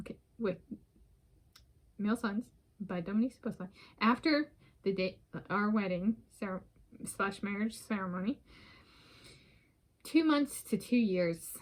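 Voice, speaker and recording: A woman with a medium-pitched, somewhat breathy voice speaks at a moderate pace with ordinary pitch variation and long, frequent pauses. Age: 30s. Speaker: vlogger. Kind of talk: casual solo vlog monologue. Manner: rambling, halting with fillers.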